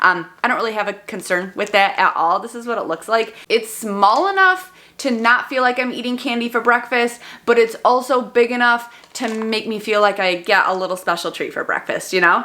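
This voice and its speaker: Over noticeable background noise, a woman talks with hardly any pauses. Her fairly high voice has lively intonation. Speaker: vlogger. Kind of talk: product review vlog. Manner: fast.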